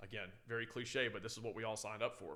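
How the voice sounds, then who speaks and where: A man at a very fast pace, medium in pitch. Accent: American. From San Francisco, California, then Louisiana. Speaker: firefighter. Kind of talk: casual chat. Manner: loud; animated.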